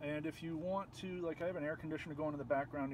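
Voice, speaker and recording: Mumbling at a very fast pace, a man speaks in a fairly high pitch with ordinary pitch variation. Noticeable background noise can be heard. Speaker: video tutorial creator. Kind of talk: tutorial. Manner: soft-spoken.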